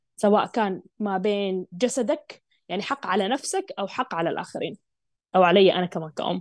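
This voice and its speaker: A woman speaks in an animated tone at a moderate pace and medium pitch, with ordinary pitch variation and a dry, close sound free of echo. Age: 20s. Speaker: parenting coach. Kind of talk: interview.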